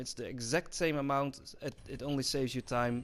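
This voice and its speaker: A fairly quick-paced man's voice with a fairly high pitch. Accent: Dutch. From Netherlands. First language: Dutch. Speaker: gaming YouTuber. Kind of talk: gameplay commentary tutorial. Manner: flat, unemotional.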